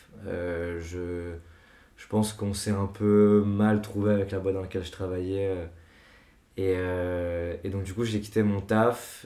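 Flat and monotone, a man speaks at a fairly low pitch with a dark, mellow tone. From France, Paris. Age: 20s. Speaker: music artist manager. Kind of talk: casual chat.

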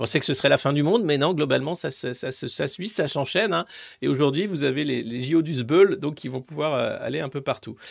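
The recording is very clean, with a silent background. A man speaks fairly quickly with vocal fry. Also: fairly high pitch for a man, ordinary pitch variation, big swings in loudness. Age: 50s. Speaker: political commentator. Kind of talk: live press review. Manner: animated.

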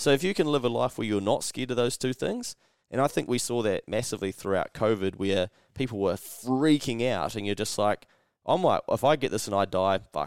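Fairly quick speech from a man with a New Zealand accent, medium in pitch with lively intonation, dry and close with no echo in a very clean recording with a silent background. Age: 30s. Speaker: podcast host. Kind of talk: casual chat. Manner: animated.

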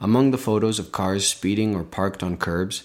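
In a Canadian accent, an ordinary speaking voice moves at a moderate pace with fairly even intonation, recorded very cleanly against a silent background. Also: man. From Belleville, Ontario, Canada. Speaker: podcast host. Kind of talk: scripted narration.

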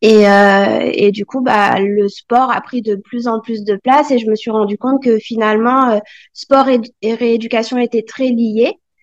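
Her sound dry and close with no echo, a woman speaks fairly slowly at a fairly high pitch in a monotone, flat way. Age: 40s. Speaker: medical assistant and nordic walking instructor. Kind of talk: interview. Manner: hesitant, many fillers.

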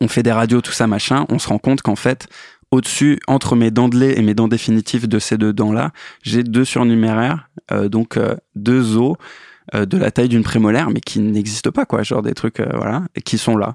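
In a dry, close sound with no echo, a man with medium pitch speaks at a moderate pace with ordinary pitch variation. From eastern France (Metz). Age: 30s. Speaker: musician and sound engineer. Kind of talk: casual interview. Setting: studio. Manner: hesitant, many fillers.

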